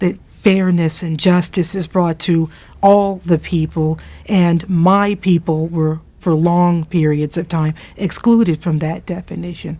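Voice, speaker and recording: Fairly slow and fairly even in intonation, a woman speaks in an unremarkable speaking voice. Her pitch is fairly low. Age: 40s. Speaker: judge. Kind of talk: personal reflection.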